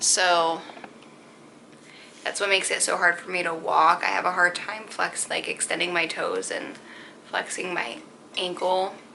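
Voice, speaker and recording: A woman's medium-pitched voice with an American accent, fairly slow and fairly even in intonation, broken by long, frequent pauses, over noticeable background noise. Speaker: vlogger. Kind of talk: personal vlog. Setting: at home on couch. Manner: casual, filler-heavy; occasional stutter.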